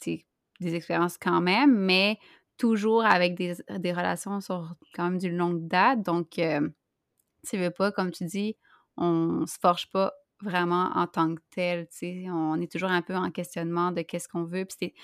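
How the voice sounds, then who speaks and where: This woman has an unremarkable speaking voice, fairly low in pitch, with fairly even intonation and big swings in loudness at a fairly slow pace. The recording is very clean with a silent background and a dry, close sound with no echo. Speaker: podcast co-host. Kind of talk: casual chat.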